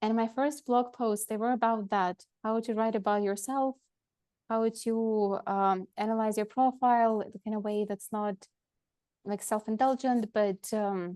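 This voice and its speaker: With a Russian accent, a woman speaks fairly slowly in a fairly high voice of dark, mellow tone, her intonation fairly even against a quiet background. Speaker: lawyer and education consultant. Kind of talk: interview. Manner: halting, many fillers.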